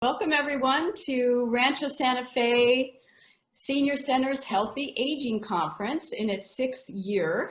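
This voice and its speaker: A high-pitched woman's voice, lively in intonation and fairly slow in pace. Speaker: fitness association co-founder, interviewer. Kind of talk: conference welcome and introduction.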